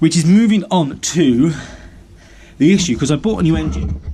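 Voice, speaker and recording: This is a man speaking with an English accent. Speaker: DIY mechanic and video maker. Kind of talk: casual vlog tutorial. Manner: fast; rambling with fillers.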